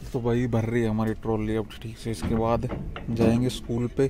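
This man speaks at a moderate pace in a medium pitch, with little movement in his pitch.

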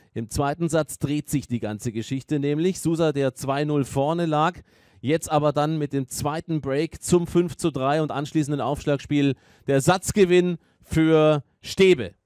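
At a fairly slow pace, a man with an ordinary speaking voice talks at a fairly high pitch with fairly even intonation, in a very clean recording with a silent background and a dry, close sound with no echo. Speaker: tennis commentator. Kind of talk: live sports commentary on a tennis match. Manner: fluent, engaged, analytical play-by-play.

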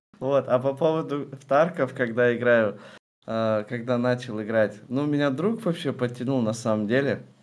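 At a moderate pace, a man speaks at a medium pitch with ordinary variation in pitch. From Kazakhstan (Kostanay); Kazakhstan. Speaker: streamer. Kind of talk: interview. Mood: relaxed, friendly. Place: home room.

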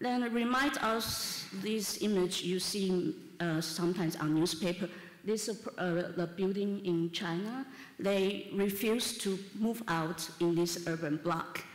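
With audible room echo, a woman talks at a fairly slow pace in a medium pitch, her loudness very even and her pitch varying in an ordinary way. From Taiwan, Taipei; Taiwan. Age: 30s. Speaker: architect. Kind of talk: conference talk. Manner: halting, with fillers. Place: hall. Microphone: camera far.

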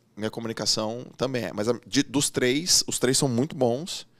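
The tone is animated, and the sound is dry with no echo. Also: man. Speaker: former swimmer, coach and business mentor; coach. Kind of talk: casual interview. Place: studio. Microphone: studio mic.

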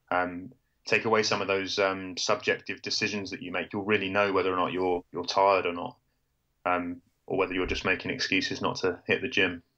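A man with a British accent speaks fairly quickly in a very deep, low pitch, his tone bright and sharp but his intonation flat and monotone. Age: 30s. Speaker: journalist and amateur ultrarunner. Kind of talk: interview.

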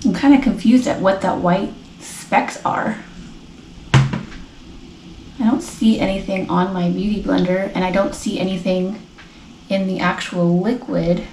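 Pausing long and often, a woman speaks at a fairly slow pace with ordinary pitch variation, amid light background noise and audible room echo. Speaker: beauty vlogger. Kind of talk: casual vlog chat. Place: home room. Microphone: phone near.

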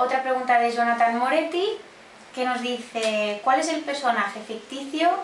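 At a moderate pace, a woman with a high pitch speaks through noticeable background noise. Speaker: interviewer. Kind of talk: interview questions.

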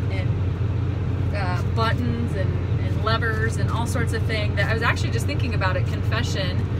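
A woman is speaking. Loud background noise surrounds her voice. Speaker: vlog host. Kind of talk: casual vlog chat. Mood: cheerful, reflective. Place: farm machine. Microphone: phone near.

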